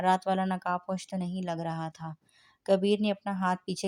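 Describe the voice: The speaker reads aloud plainly, keeping the intonation fairly even.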